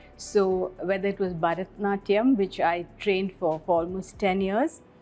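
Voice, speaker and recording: A woman speaks at a moderate pace and a medium pitch, with music playing in the background. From India, Bangalore. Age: 60s. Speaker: school principal. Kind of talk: interview.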